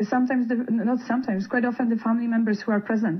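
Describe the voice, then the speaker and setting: A woman with a non-native accent speaks in a fairly high voice. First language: not English. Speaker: palliative care worker. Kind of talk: radio interview. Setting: radio studio. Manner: halting.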